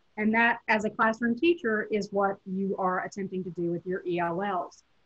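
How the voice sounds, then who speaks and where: A woman in a strong Southern US accent, with ordinary pitch variation. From US South, Tennessee. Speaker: professor. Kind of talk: lecture.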